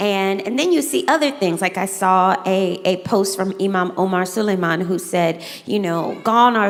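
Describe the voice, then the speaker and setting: A woman speaks in a Southern US accent at a fairly slow pace. Her pitch is medium with ordinary variation, over noticeable background noise. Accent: Southern US twang. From US South. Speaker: moderator, educator. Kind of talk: moderated fireside chat.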